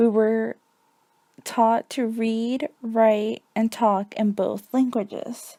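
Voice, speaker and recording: Very slowly and in a flat monotone, a woman speaks at a fairly high pitch with a dark, mellow tone, the sound dry and close with no echo. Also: very clean recording, silent background. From US, Mexican family (moved at age four). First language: Spanish. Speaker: student teacher. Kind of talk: reading a personal essay. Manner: scripted, even pace.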